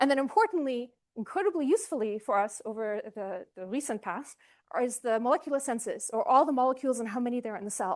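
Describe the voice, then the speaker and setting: Against a quiet background, a woman speaks at a very fast pace. Her pitch is high and her intonation lively. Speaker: cell biologist, workshop speaker. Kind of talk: scientific talk. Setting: workshop with live audience.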